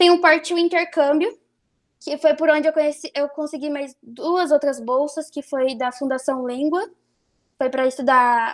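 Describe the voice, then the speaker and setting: A woman with a high pitch talks at a fairly slow pace, her intonation fairly even. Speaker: nursing student. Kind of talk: online talk / presentation. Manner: halting, many fillers and restarts.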